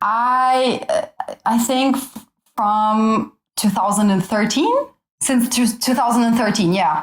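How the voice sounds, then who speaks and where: A woman's fairly high voice with an Albanian accent, very slow and very even in loudness. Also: ordinary pitch variation. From Italy. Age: 20s. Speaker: university student. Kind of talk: casual chat.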